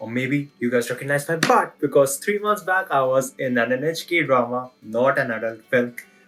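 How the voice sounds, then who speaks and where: A man at medium pitch with a non-native accent, an upbeat tone, ordinary pitch variation, a moderate pace and music in the background. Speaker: freelance photographer and videographer. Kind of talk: self-introduction job application video. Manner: upbeat, casual.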